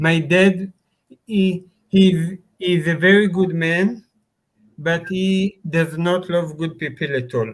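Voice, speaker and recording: A man with a non-native accent speaks at high pitch and a very slow pace. Long, frequent pauses break up his speech. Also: fairly even intonation. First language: not English. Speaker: live stream chat participant. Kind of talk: casual chat. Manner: halting.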